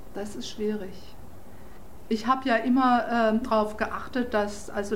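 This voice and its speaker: A woman talks fairly slowly with fairly even intonation, her voice carrying an audible room echo over noticeable background noise. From southwestern Germany, Freiburg. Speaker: German emigrant. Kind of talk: interview.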